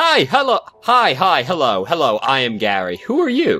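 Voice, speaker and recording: Shouting in a put-on character voice, a man pitches himself high. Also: moderate pace. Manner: shouting, excitable.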